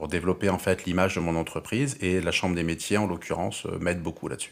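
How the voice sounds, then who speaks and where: Very fast in pace, a man speaks with a very deep, low pitch and ordinary pitch variation. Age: 40s. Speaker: carpenter and furniture maker. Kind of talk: interview. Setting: workshop. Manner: halting, many hesitations.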